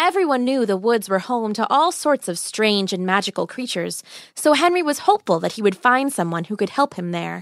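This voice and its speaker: A woman speaks in a warm, animated tone at a fairly quick pace. Her pitch swings very widely. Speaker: podcast storyteller. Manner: animated, playful; warm, wry storyteller.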